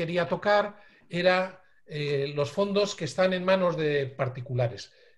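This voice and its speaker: A high-pitched man at a very slow pace, with ordinary pitch variation and audible room echo. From Bilbao, Basque Country, Spain. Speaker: lecturer on photographic heritage. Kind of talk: online lecture. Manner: hesitant fillers.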